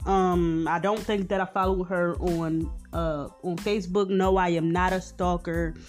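Over music in the background, a woman with an American accent talks at a fairly slow pace in a medium pitch with monotone, flat intonation. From Philadelphia. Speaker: podcast host. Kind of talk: casual slang.

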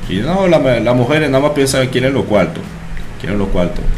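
A man with a French accent is heard with audible room echo and noticeable background noise. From France. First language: French (speaking Spanish). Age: 30s. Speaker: bartender. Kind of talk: casual chat.

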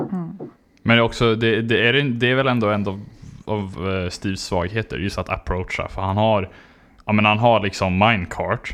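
Over a quiet background, a man with an ordinary speaking voice talks at a moderate pace, his pitch fairly low with ordinary variation. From southern Sweden (Skåne). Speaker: podcast host. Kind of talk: casual chat.

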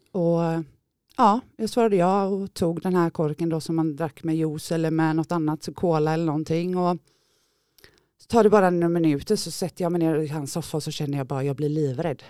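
A woman talks at a fairly quick pace in a fairly low pitch, her dark, mellow tone showing ordinary pitch variation. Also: dry, close sound with no echo, very clean recording, silent background. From Gothenburg area, Sweden. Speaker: former drug user sharing her story. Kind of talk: testimony. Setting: studio.

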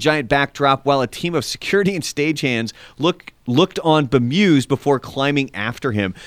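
Recorded very cleanly against a silent background, a man with an unremarkable speaking voice talks at a fairly high pitch with lively intonation. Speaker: podcast co-host and musician. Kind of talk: casual chat. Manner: sighing, opinionated, conversational.

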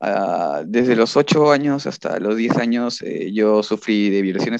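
A normal speaking voice with ordinary pitch variation comes through dry and close with no echo over a quiet background. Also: man. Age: 20s. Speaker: musician, band vocalist. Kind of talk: casual chat.

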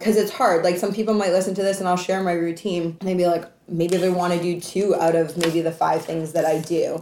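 With a Canadian accent, a woman speaks at a fairly low pitch in a monotone, flat intonation over noticeable background noise. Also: fairly quick pace. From Canada. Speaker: entrepreneur and anti-trafficking advocate. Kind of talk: casual interview.

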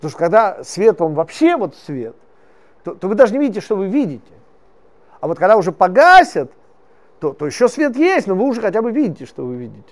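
At a fairly quick pace yet with long, frequent pauses, a man speaks at a high pitch with very wide pitch swings and big swings in loudness. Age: 50s. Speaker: religious teacher. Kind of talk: lecture. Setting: classroom with live audience. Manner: animated.

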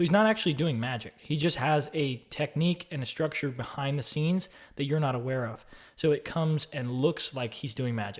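Fairly high in pitch and somewhat breathy, a man talks at a fairly quick pace with an American accent. The recording is very clean, with a silent background. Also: ordinary pitch variation. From Austin, Texas. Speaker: online course creator and real estate investor. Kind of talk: casual solo video talk about a book. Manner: casual, with fillers and repeats.

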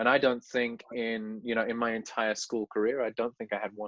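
A man's medium-pitched voice in an English Midlands accent. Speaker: teacher and podcast host. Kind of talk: casual interview.

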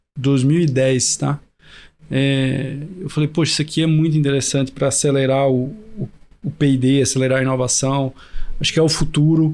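Speaking at a moderate pace, a man holds a fairly high pitch with fairly even intonation. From Brazil, Recife (Pernambuco). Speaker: agtech innovation hub CEO. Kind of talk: podcast interview. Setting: in-person studio recording.

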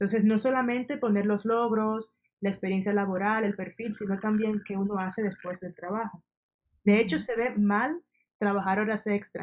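A woman speaks at a moderate pace with medium pitch and fairly even intonation. Hers is a plain, everyday voice. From Dominican Republic. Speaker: service designer. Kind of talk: interview.

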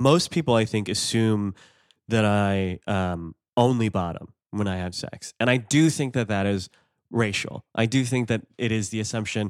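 A man talks in a plain, everyday voice at a fairly low pitch and moderate pace with ordinary pitch variation, in a very clean recording with a silent background and a dry, close sound with no echo. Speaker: stand-up comedian. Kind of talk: casual interview chat.

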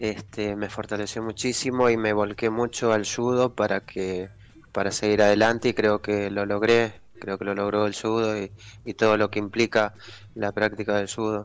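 The voice holds a flat monotone at a moderate pace. The background is quiet. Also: man, fairly low pitch for a man. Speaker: Paralympic judo athlete. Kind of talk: interview.

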